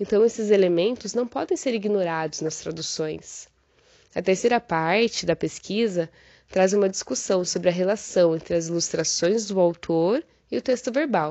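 An unremarkable speaking voice from a woman at medium pitch, moderate pace and ordinary pitch variation. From southern Brazil, Paraná. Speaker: university lecturer and translation researcher. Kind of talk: prepared academic presentation.

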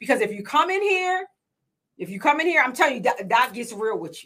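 A woman speaks at a moderate pace in a raised, projected voice with a bright, sharp tone. Her high pitch moves in very wide swings. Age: 40s. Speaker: podcast host and business coach. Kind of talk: casual interview chat. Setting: podcast studio.

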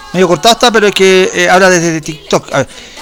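A man talks in a Chilean accent at a high pitch. Noticeable background noise runs under his voice. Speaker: radio host. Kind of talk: casual chat. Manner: animated; halting.

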